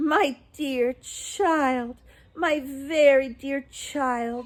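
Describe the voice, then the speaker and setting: Putting on a character voice, a woman talks at a very slow pace in a high pitch with a gentle tone. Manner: gentle, affectionate.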